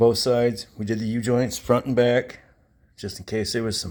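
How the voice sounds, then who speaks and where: A moderate pace with fairly even intonation. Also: man. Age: 60s. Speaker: classic car hobbyist vlogger. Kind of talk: casual garage walkaround vlog. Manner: rambling, halting.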